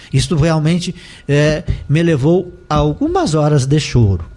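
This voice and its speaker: At a fairly slow pace, a man speaks in a somewhat breathy, dark, mellow tone with fairly high pitch and ordinary pitch variation. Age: 60s. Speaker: life coach and professor. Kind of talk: interview testimony. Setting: radio studio.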